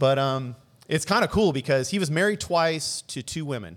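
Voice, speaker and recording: A man's fairly high, normal speaking voice with an American accent at a fairly quick pace, on a very clean recording with a silent background. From Southern California, South Bay (Los Angeles). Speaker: video producer. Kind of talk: casual chat.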